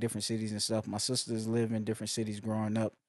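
A man is speaking. The sound is dry, with no echo. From rural South Carolina. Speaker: musician. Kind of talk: casual chat. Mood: reflective, personal. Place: home room. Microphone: studio mic.

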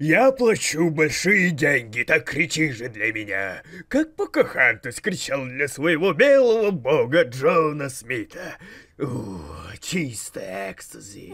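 Fairly slow and fairly high-pitched for a man, this man's voice makes very wide pitch swings. His loudness also shifts in big swings. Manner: creepy, demanding.

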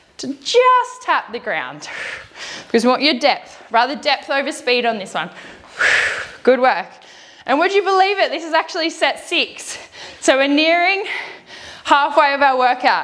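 A woman speaks at a high pitch and a moderate pace. She leaves long, frequent pauses. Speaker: fitness instructor. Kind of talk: workout instruction. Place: gym. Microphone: lapel.

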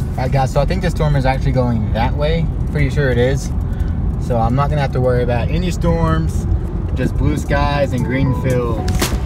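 Over music in the background, the speech moves at a moderate pace with a dry sound and no echo. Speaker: outdoors vlogger. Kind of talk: casual vlog chat. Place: car. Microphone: phone near.

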